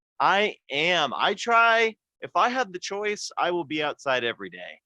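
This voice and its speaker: Against a quiet background with a dry, close sound and no echo, a man speaks fairly slowly in a raised, projected, high-pitched voice with a bright, sharp tone and lively intonation. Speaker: martial arts instructor. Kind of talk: casual chat. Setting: video call, outdoors. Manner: loud when teaching.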